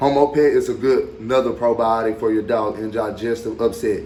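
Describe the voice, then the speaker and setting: At a moderate pace, a man talks. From Arkansas. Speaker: dog breeder. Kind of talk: tutorial. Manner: casual, repetitive filler.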